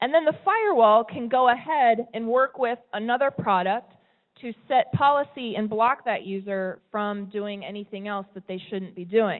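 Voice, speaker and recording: Using an ordinary speaking voice, a woman with an American accent talks at a moderate pace, her pitch fairly high and its variation ordinary. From US West Coast, California. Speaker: tech company presenter. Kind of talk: presentation talk. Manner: conversational, some repetitions.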